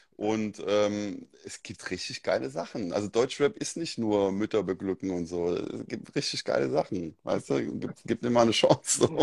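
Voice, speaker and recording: A man with a Mainz accent and a medium pitch at a moderate pace with ordinary pitch variation, in a very clean recording with a silent background and a dry, close sound with no echo. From Germany, Mainz area. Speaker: DJ. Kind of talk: casual chat.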